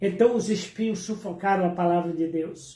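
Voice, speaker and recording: A man speaks with ordinary pitch variation. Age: 70s. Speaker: preacher. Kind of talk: sermon. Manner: hesitant fillers.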